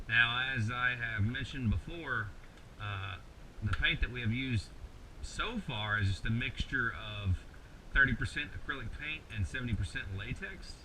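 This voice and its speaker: A man at medium pitch with ordinary pitch variation and a moderate pace, noticeable background noise behind him. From Kentucky. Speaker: mask maker, tutorial host. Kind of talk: tutorial. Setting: home workshop late at night. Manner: casual, halting with many repeated words.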